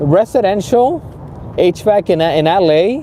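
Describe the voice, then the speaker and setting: Noticeable background noise fills the clip. Over it, a man's intonation rises and falls in a lively way. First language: Spanish. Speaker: HVAC instructor. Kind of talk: live stream chat. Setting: live stream. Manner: halting, many fillers.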